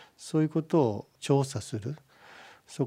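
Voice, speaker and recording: At a fairly slow pace, a man speaks in a dark, mellow, somewhat breathy tone with ordinary pitch variation. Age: 60s. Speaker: pig farming company chairman. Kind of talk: radio interview. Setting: studio.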